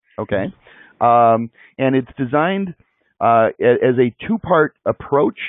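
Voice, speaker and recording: This man speaks with a Chicago accent. His pitch is fairly high and varies in an ordinary way. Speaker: webinar host. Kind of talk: live online interview.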